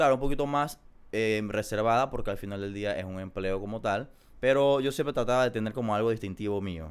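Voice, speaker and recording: A man speaks with a Panamanian accent at a fairly low pitch and with ordinary pitch variation. The recording is very clean, with a silent background. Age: 20s. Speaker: small business owner. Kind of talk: casual interview.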